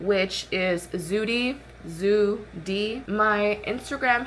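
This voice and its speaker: Her voice is a woman's at medium pitch, with ordinary pitch variation. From Arizona, US (Mexican-born). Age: 20s. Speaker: lifestyle vlogger. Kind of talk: casual makeup vlog chat. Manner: casual, chatty.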